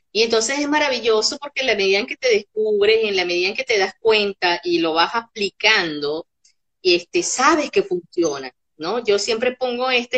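A woman talks at a moderate pace in a normal speaking voice. Her fairly high pitch carries lively intonation. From Caracas, Venezuela. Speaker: psychopedagogue and workshop facilitator. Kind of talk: interview conversation.

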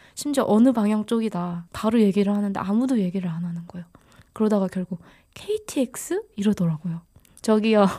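Somewhat breathy and dark, mellow in tone, a woman speaks at medium pitch and a fairly quick pace on a very clean recording with a silent background. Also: ordinary pitch variation. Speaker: podcast co-host. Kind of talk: casual chat.

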